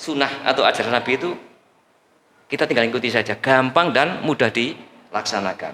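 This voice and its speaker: A man speaks with a Javanese accent. Audible room echo surrounds his voice. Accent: Javanese-accented Indonesian. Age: 60s. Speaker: preacher. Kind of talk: sermon. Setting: mosque with congregation. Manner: animated.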